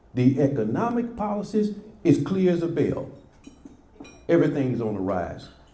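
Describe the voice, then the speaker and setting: A man speaks at a fairly high pitch, with very wide pitch swings. There is audible room echo. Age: 70s. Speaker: former local politician. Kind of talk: prepared remarks at a press club. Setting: press club event with audience. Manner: emphatic, impassioned.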